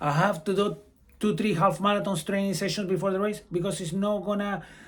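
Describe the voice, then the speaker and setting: A man speaks at a fairly quick pace with a high pitch. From Brazil. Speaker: amateur runner and running vlogger. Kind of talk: advice vlog.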